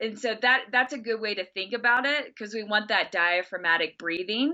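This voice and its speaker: A woman's fairly high voice with ordinary pitch variation and a Texas accent. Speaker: health or breathing instructor giving advice.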